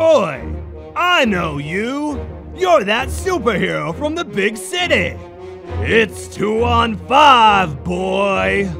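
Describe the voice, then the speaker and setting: A man's cartoonish character voice, raised and projected, at a very slow pace over clear music in the background. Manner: shouting, brash.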